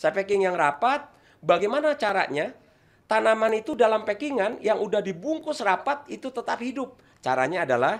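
A man speaks with a high pitch. His voice swings very widely in pitch. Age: 50s. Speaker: toll road employee and ornamental plant seller; guest, plant seller. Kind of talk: online talk with plant-care tutorial. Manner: halting, with frequent fillers. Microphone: studio mic.

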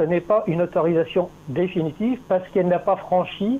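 A man's high-pitched voice at a moderate pace. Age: 70s. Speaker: caller. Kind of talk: phone call, debate. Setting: phone call.

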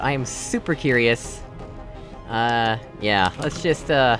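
Music plays in the background as a man speaks. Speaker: let's play gamer. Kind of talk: casual gameplay commentary.

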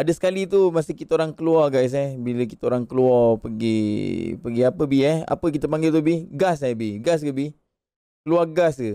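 A man with a fairly high pitch and a dark, mellow tone speaks at a moderate pace with ordinary pitch variation. The sound is dry with no echo, over a quiet background. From Malaysia. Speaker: gaming livestreamer. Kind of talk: casual livestream chat. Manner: animated. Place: home room. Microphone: studio mic.

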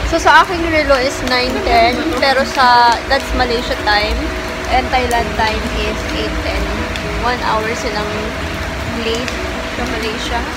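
A woman speaks at a fairly slow pace with long, frequent pauses. Her pitch varies normally over loud background noise. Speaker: food vlogger. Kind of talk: casual vlog chat. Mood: relaxed, satisfied after meal. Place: cafe. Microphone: phone near.

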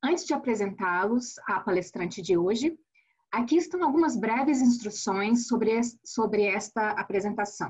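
Breathiness runs somewhat through the voice. A woman keeps to a moderate pace. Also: quiet background. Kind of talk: webinar introduction. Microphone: webcam.

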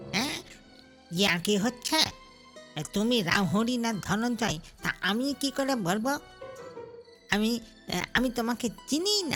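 Using a gruff, put-on character voice, a woman speaks at a fairly slow pace with lively intonation and very even loudness while clear music plays in the background. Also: fairly high pitch for a woman. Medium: read story. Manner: gruff, testy.

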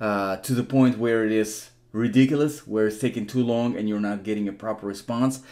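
Against a quiet background, a man with a fairly low pitch and a dark, mellow tone speaks at a fairly quick pace with fairly even intonation. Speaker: immigration help channel host. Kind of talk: tutorial.

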